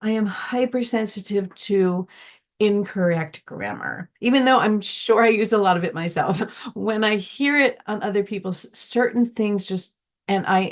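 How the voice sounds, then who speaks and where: With a normal speaking voice, a woman at a medium pitch talks at a fairly slow pace with ordinary pitch variation. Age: 60s. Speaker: musician, gardener, former teacher. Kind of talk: interview answer.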